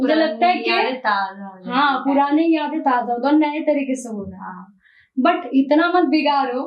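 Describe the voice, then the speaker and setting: A high-pitched woman's voice with ordinary pitch variation and big swings in loudness. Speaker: singer. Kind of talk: interview answer.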